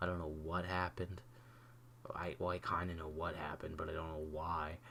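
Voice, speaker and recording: A quiet, animated man's voice with a very deep, low pitch. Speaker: YouTuber reviewing TV episode. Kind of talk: casual solo rant. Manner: quiet, subdued; animated, rambling with false starts.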